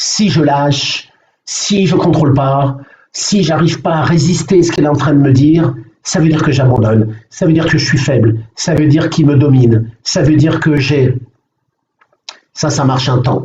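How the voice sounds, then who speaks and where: Keeping a very even loudness, a man talks at a moderate pace with a fairly high pitch and ordinary pitch variation. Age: 60s. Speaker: mental coach. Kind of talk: live online coaching session. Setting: live video stream. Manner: halting, many fillers.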